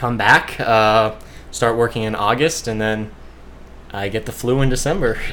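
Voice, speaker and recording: Speaking with a Midwestern accent, a man with a medium pitch keeps his intonation fairly even at a moderate pace, with long, frequent pauses. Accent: US Midwest (Ohio). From Ohio, Cleveland. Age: 20s. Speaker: surfer and amputee sharing illness recovery. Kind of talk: casual interview. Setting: in a house.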